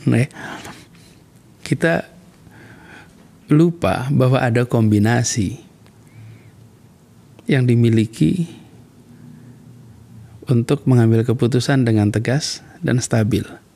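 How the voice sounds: With a dark, mellow tone and vocal fry, a man at medium pitch speaks slowly, using ordinary pitch variation and long, frequent pauses.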